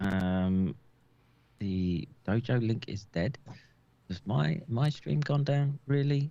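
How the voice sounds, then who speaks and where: The speaker is a man with a British accent. He goes at a very slow pace with ordinary pitch variation. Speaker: doctor. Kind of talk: casual chat. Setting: live stream. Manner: halting.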